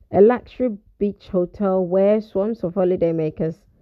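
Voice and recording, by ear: The clip is of reading aloud in a natural voice.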